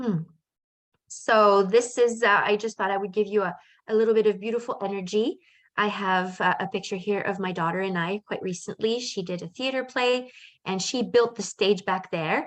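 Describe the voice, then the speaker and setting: Against a quiet background, a woman uses an ordinary speaking voice, medium in pitch, with fairly even intonation and a moderate pace. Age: 50s. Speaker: life coach. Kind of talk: webinar presentation. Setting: video call with shared screen.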